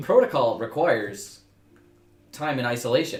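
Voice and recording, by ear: A man uses a put-on, robotic character voice at medium pitch. He speaks at a moderate pace.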